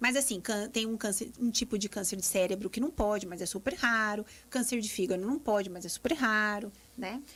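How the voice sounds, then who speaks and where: A woman's unremarkable speaking voice, moderate in pace, with ordinary pitch variation. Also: fairly high pitch for a woman, very clean recording, silent background. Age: 40s. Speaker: gynecologist. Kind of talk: live radio interview.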